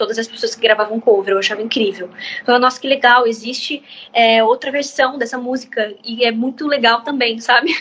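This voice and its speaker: Over noticeable background noise, a woman with a fairly high pitch talks at a fairly quick pace in a fairly even intonation. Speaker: singer-songwriter. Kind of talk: interview answer. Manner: casual, chatty.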